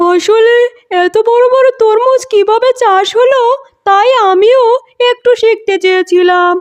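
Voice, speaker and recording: Delivered at a fairly slow pace, a cartoonish character voice sounds at an extremely high pitch. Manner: meek.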